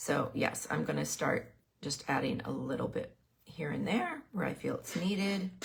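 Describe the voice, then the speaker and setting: A woman's speech proceeds at a moderate pace while music plays in the background. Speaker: painting instructor. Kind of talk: tutorial. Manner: casual, with pauses.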